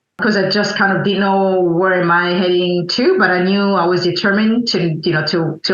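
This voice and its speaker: A woman at a fairly low pitch, fairly even in intonation, with audible room echo and noticeable background noise. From Burundi (Bujumbura). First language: French and Kirundi. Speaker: coffee importer, entrepreneur. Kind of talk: interview conversation. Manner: halting, many fillers.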